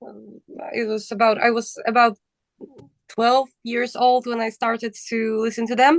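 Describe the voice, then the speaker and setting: A woman talks at a moderate pace in a high voice. The sound is dry and close, with no echo. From Poland. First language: Polish. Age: young. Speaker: metal band vocalist. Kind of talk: casual interview.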